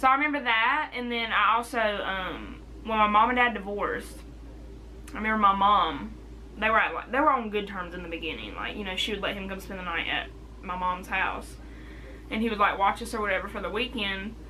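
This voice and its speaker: A woman talks at a fairly quick pace, her loudness swinging widely. The room echoes audibly, and background noise is noticeable. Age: 20s. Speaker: vlogger. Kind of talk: casual chat.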